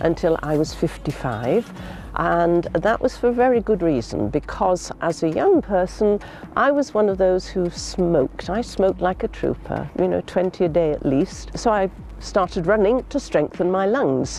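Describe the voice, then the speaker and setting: A woman speaks with very even loudness. Noticeable background noise runs underneath. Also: moderate pace. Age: 70s. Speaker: masters athlete. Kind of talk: interview testimony.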